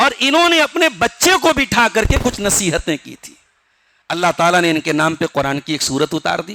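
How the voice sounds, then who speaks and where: A man speaks high in pitch with a bright, sharp tone, his pitch swinging very widely and his loudness in big swings. The sound is dry and close, with no echo. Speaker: Islamic scholar giving Quran commentary. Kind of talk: Quran tafseer sermon.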